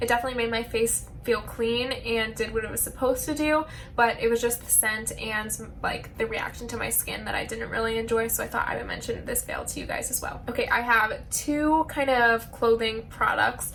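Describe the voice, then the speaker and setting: Noticeable background noise and audible room echo accompany speech delivered at a fairly quick pace. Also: woman. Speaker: beauty and lifestyle vlogger. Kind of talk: casual product review vlog.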